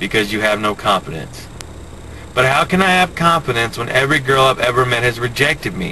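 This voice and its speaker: A man with an American accent speaks at a fairly quick pace. Noticeable background noise is present. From US South, Florida (Pensacola). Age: 30s. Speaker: vlogger. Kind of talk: personal video diary. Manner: halting, hesitant.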